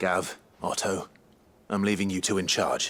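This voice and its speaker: This man uses a put-on character voice that is raspy and fairly low. He speaks at a moderate pace. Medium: video game.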